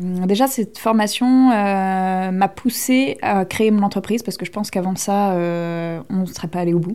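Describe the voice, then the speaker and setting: A woman speaks at a fairly slow pace with hardly any pauses. Her medium-pitched voice has a dark, mellow tone and ordinary pitch variation. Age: 20s. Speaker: aspiring entrepreneur. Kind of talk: interview testimony.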